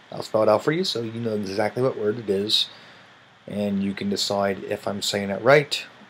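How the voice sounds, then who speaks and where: A man speaks fairly low as noticeable background noise carries on around him. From US Midwest, Kansas City. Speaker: vlogger. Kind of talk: accent challenge video. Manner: slow, deliberate word reading.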